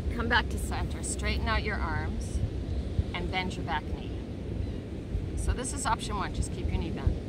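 A woman speaks at a moderate pace with long, frequent pauses. The sound is dry with no echo, but loud background noise is present. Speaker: yoga instructor. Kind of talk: guided yoga class cueing poses and breaths step by step. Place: beach.

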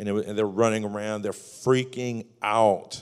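A man with an unremarkable speaking voice talks at a fairly low pitch with fairly even intonation. The background is quiet. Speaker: guest. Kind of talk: sermon. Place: church. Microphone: handheld.

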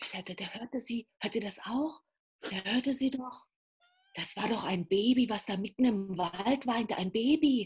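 Against a quiet background, a woman speaks at a fairly slow pace in a fairly high voice with ordinary pitch variation. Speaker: storyteller. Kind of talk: fairy tale storytelling. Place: home room. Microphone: video call.

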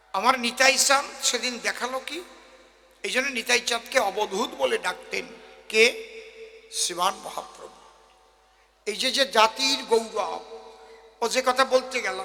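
A man's raised, projected voice, extremely high in pitch, with ordinary pitch variation. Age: 60s. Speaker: kabigaan folk singer and preacher. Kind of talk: religious discourse to audience. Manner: animated.

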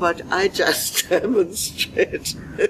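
A woman at a very slow pace amid noticeable background noise. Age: 80s+. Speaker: interviewee demonstrating sneezes. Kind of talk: casual talk to camera. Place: garden. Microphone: lapel.

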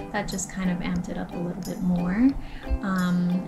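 A woman talks at a moderate pace while clear music is heard in the background. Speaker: vlogger. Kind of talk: casual vlog chat. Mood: cheerful, chatty. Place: home room. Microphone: phone near.

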